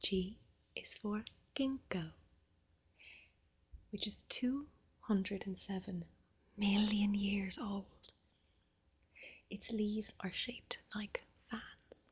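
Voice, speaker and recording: Speaking very slowly with long, frequent pauses, a soft-spoken woman with an Irish accent uses a medium pitch and sounds somewhat breathy. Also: fairly even intonation. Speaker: ASMR creator. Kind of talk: ASMR bedtime story reading.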